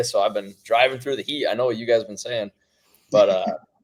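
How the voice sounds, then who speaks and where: A man speaks at medium pitch. He has a Wisconsin accent. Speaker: hunting seed company sales rep. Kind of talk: casual podcast interview.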